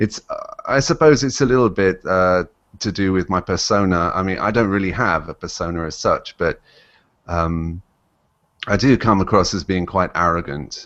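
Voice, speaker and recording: A man with an English accent, very deep and low in pitch, with ordinary pitch variation at a moderate pace. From England. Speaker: YouTube commentator. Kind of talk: interview. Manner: halting, many fillers.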